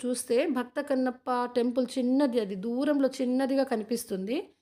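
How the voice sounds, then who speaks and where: A woman's high-pitched voice is heard in a very clean recording against a silent background. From Srikalahasti, Tirupati district, Andhra Pradesh, India. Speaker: travel and family vlogger. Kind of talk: vlog narration to camera.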